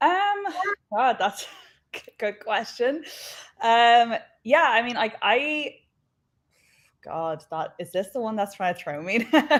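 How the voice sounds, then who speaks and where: With an Irish accent, a woman speaks fairly high and very slowly. Her pitch swings very widely, and she takes long, frequent pauses. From Ireland. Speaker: professional wrestler. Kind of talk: interview. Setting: live online show.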